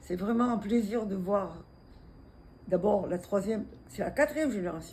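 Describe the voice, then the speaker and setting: With a dark, mellow tone, a somewhat breathy woman speaks at a fairly slow pace, using a medium pitch and ordinary pitch variation. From Tunisia. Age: 80s+. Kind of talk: interview answer.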